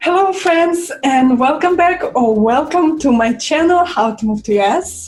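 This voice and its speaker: A woman with a Russian accent speaks at a fairly slow pace in a high-pitched voice, her pitch swinging very widely while her loudness stays very even and she hardly pauses, with music playing in the background. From Russia, Saint Petersburg. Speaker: violinist and vlogger. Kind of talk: casual vlog talk. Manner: halting, with fillers.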